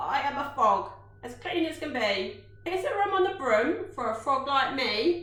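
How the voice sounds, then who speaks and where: In a put-on character voice, the speaker sounds high-pitched and croaky at a moderate pace with a slight echo. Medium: read story.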